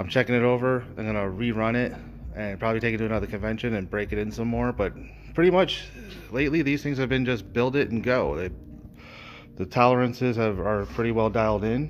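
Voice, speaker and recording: A man talks at a very fast pace with ordinary pitch variation. Light background noise can be heard. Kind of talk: tutorial. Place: workshop. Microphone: phone near.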